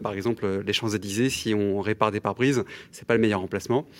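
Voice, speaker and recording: In a very clean recording with a silent background, a man talks. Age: 30s. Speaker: commercial real estate broker, entrepreneur. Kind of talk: casual radio interview. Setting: radio studio. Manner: hesitant, many fillers.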